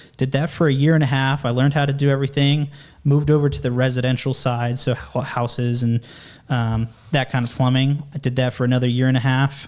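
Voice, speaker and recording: Flat and monotone, a man talks at a very fast pace with a medium pitch. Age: 20s. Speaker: junior construction estimator, former plumber. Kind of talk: interview, casual.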